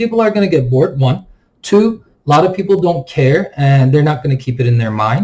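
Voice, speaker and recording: Speaking at a very fast pace, a man with a non-native accent has a dark, mellow tone. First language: not English. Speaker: stock market YouTuber. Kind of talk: market analysis commentary. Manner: casual, filler-heavy (um, like).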